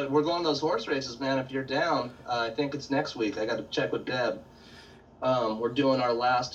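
An American man talks at a fairly quick pace. Noticeable background noise and audible room echo come through. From Central California. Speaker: painter. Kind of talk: casual chat. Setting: video call.

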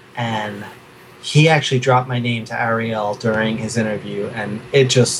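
A man with a New York accent speaks over noticeable background noise. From New York City, Queens. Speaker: artist. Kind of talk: casual interview chat. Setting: video call from his studio.

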